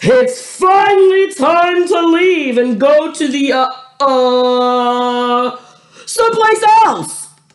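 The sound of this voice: A put-on character voice comes through loud and high-pitched. The pace is very slow.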